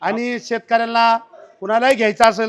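This man's voice sits high. Behind him, things stay quiet. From Maharashtra, Nashik district. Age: 50s. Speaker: farmer, machine buyer. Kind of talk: customer testimonial.

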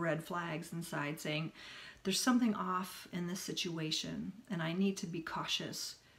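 A woman's somewhat breathy voice, fairly low in pitch, with ordinary pitch variation. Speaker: self-help vlogger. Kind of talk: casual vlog chat. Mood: earnest, reflective. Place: home room. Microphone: phone near.

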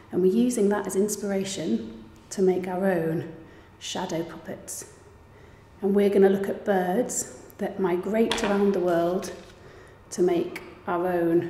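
There is audible room echo and light background noise as a woman speaks with ordinary pitch variation. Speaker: presenter. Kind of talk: tutorial. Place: home room.

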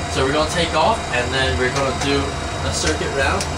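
A man speaks at a fairly quick pace. Loud background noise fills the recording. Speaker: simulator instructor. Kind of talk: tutorial instruction.

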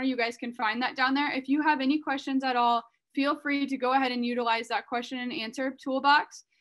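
A woman speaks in a high pitch. Her intonation is monotone and flat. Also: quiet background. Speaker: webinar host. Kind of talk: webinar introduction. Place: home room. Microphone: video call.

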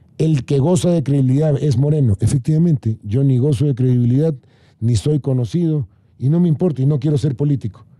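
Against a quiet background, a somewhat breathy man with a fairly high pitch and a dark, mellow tone speaks with ordinary pitch variation. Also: very even loudness, dry sound with no echo. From Ecuador, Guayaquil; Ecuador. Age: 60s. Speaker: government adviser; guest. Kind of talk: panel debate. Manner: animated. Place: studio. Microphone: studio mic.

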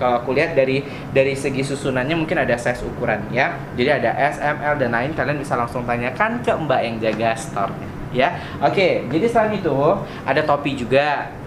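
Behind the man's voice there is noticeable background noise. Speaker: travel vlogger. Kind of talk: casual vlog chat. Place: shop. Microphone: phone near.

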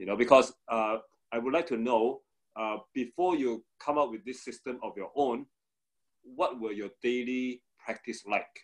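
Ordinary pitch variation and a fairly slow pace in an unremarkable speaking voice. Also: man, medium pitch for a man. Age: 40s. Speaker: podcast host. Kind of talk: interview. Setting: video call.

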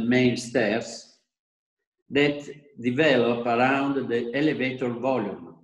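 Against a quiet background with audible room echo, a man speaks at a very slow pace with fairly even intonation. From Italy. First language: Italian (speaking Indonesian). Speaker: architect and designer; presenter. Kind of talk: lecture. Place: home room. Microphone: video call.

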